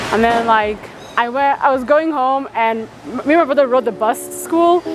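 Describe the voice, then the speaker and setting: A high-pitched woman at a moderate pace, with big swings in loudness, ordinary pitch variation and noticeable background noise. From Utah, US (from age nine; born in Kenyan refugee camp). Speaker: refugee interviewee. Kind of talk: personal testimony interview. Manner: casual, frequent 'like' fillers.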